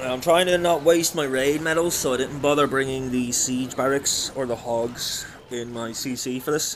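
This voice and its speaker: Over noticeable background noise, a man with a medium-pitched voice talks at a moderate pace with hardly any pauses. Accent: British. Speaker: gaming live streamer. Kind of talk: live stream chat. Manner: loud; animated.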